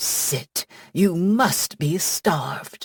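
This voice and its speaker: Dry and close with no echo, a put-on character voice growls. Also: woman. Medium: read story. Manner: warm, affectionate.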